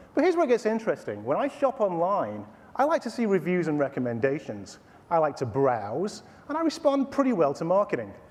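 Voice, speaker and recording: A man's high voice at a fairly quick pace, with very wide pitch swings and an American accent, over noticeable background noise. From Texas, Austin. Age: 40s. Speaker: tech company executive. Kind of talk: sales pitch. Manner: formal.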